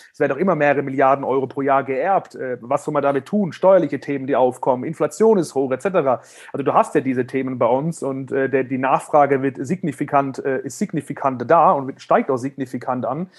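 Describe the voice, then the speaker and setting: Over background music, a man speaks fairly quickly with hardly any pauses, in a fairly high voice with ordinary pitch variation. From Germany. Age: 30s. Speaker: financial services entrepreneur. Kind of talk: interview. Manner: halting, many repetitions and fillers.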